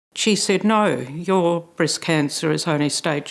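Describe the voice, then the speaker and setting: A woman talks with ordinary pitch variation. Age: 70s. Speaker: breast cancer patient sharing experience. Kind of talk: testimony.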